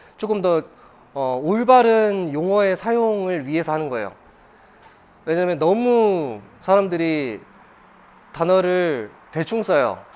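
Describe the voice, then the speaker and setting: A man speaks at a high pitch and a fairly slow pace. His intonation is lively. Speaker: coffee seminar instructor. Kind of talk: lecture. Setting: live seminar with audience. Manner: conversational, with fillers and restarts.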